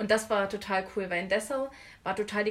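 Here a woman with a plain, everyday voice speaks at a fairly quick pace and medium pitch. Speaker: art student. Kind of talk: casual chat.

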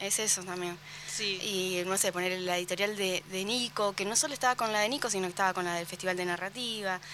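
The woman's pitch is medium. She talks at a fairly quick pace. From Argentina, Carmen de Patagones. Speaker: book fair organizer. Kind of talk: casual chat. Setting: radio studio.

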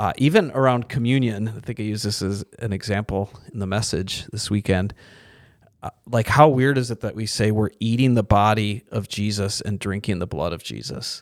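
An ordinary speaking voice from a man, fairly low in pitch with ordinary pitch variation, at a moderate pace, on a very clean recording with a silent background. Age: 40s. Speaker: pastor. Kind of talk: casual chat.

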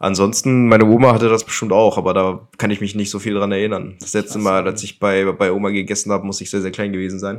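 Very fast, monotone and flat speech with hardly any pauses. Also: man, fairly low pitch for a man. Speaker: podcast co-host. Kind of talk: casual chat.

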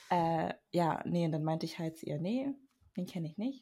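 Very deep and low in pitch, a woman speaks somewhat breathily at a fairly quick pace with lively intonation on a very clean recording with a silent background. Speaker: podcast co-host, university student. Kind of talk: casual chat. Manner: reserved, says little.

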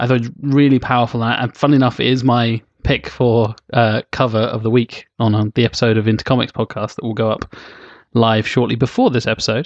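A man at a medium pitch talks at a very fast pace in a flat monotone. The background is quiet, and the sound is dry and close, with no echo. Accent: British. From Britain. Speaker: podcast host. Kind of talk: casual chat.

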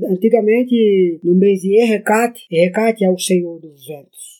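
Music plays in the background as a man speaks at a fairly slow pace in a high pitch. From Brazil, Ubatuba, São Paulo coast. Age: 50s. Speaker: writer and filmmaker. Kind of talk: interview.

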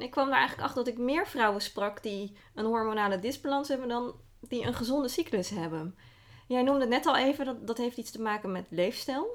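Fairly quick speech with ordinary pitch variation in a very clean recording with a silent background. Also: woman. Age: 30s. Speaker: podcast host. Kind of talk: personal narrative. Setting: in person, face to face.

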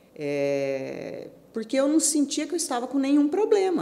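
A woman's speech comes at a moderate pace, with noticeable background noise behind it. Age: 50s. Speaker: amateur marathon runner. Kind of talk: interview.

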